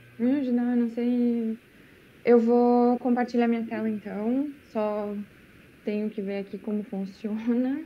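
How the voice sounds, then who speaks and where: Dark, mellow speech, monotone and flat, at a fairly slow pace with long, frequent pauses. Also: woman, fairly high pitch for a woman. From Rio Grande do Sul, Brazil (Lajeado). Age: 20s. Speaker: former exchange student. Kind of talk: presentation.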